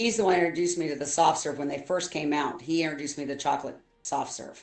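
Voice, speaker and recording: Very fast speech comes from a woman with a very deep, low pitch and an American accent. Her pitch varies in an ordinary way. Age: 60s. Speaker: streamer's mother, show co-host. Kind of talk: casual chat.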